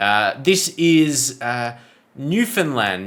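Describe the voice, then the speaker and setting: A man speaks with an Australian accent in a bright, sharp tone. The recording is very clean, with a silent background. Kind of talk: casual talk to camera.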